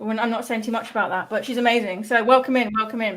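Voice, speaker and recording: A woman with a British accent talks at a very fast pace and fairly high pitch. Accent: British, noted by self. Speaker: developer advocate stream host. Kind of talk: live stream tutorial chat. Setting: live stream.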